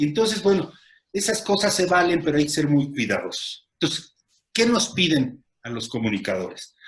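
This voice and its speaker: Full of vocal fry, the voice makes very wide pitch swings at a moderate pace. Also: man, fairly high pitch for a man. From Mexico. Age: 60s. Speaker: lawyer and media commentator. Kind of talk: casual chat. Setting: video call. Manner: halting.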